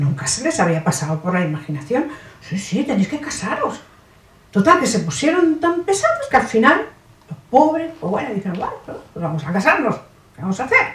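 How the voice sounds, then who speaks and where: A high-pitched woman's voice at a moderate pace, with very wide pitch swings, big swings in loudness and noticeable background noise. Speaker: actress. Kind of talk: comic stage monologue. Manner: satirical, humorous.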